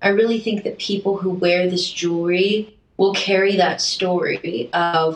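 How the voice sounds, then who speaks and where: Here is a plain, everyday voice moving at a fairly slow pace. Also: woman. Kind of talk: casual chat.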